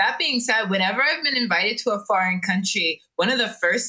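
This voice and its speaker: With an American accent, a woman talks at a medium pitch with ordinary pitch variation in a plain, everyday voice. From Jamaican American. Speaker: podcast co-host. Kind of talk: casual chat.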